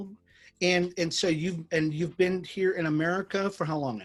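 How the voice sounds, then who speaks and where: A high-pitched male voice at a moderate pace, with ordinary pitch variation, big swings in loudness and music in the background. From Jamaican family. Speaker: business chamber interviewer. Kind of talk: interview.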